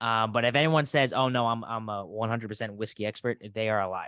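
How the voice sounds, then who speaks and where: A man talks fairly fast. Background music plays behind him. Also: dry, close sound with no echo. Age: 20s. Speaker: podcast host. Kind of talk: casual chat.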